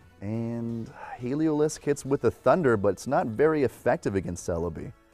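Music in the background behind a man of medium pitch, talking at a moderate pace with lively intonation. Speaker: Pokemon event commentator auditionee. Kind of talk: esports match commentary.

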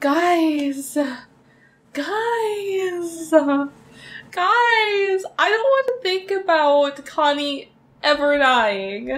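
A woman's extremely high voice, very slow, with very wide pitch swings. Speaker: reaction video creator. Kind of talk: casual vlog chat. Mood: emotional, wistful, sad. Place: home room.

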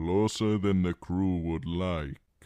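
Against a quiet background, a man does a put-on character voice with a very deep, low pitch.

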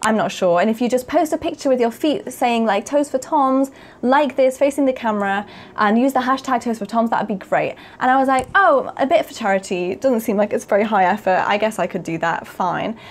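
With lively intonation and a fairly high pitch, a woman talks at a fairly quick pace. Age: 20s. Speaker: YouTuber; video creator. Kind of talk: casual monologue to camera. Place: home room.

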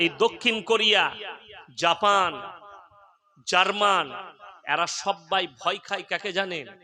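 The speaker uses a raised, projected voice with fairly even intonation. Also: man, high pitch for a man. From West Bengal, Bardhaman district. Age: 30s. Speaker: Islamic preacher. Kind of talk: sermon.

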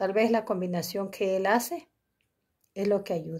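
Against a quiet background, a woman with a dark, mellow tone speaks at a moderate pace with fairly even intonation. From Mexico, Tabasco. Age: 60s. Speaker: patient giving testimonial. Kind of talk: testimony. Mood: grateful, relieved. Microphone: phone near.

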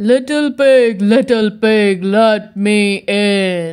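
A growling, put-on character voice pitched fairly high.

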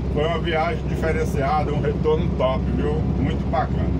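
A man talks at a moderate pace. Loud background noise sits behind him. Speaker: truck driver vlogger. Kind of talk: casual vlog chat. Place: car. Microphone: phone near.

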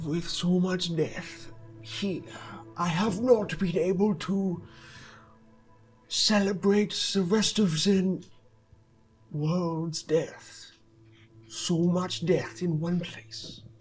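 A man uses a put-on character voice with a high pitch, speaking very slowly with long, frequent pauses. Faint music plays in the background. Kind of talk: game master voicing NPC. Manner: cryptic, solemn.

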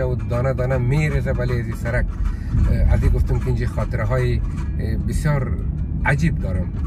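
A man speaks at a fairly slow pace, the sound dry with no echo. Loud background noise fills the recording. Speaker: vlogger driving. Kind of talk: casual vlog chat. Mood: nostalgic, relaxed. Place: car. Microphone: phone near.

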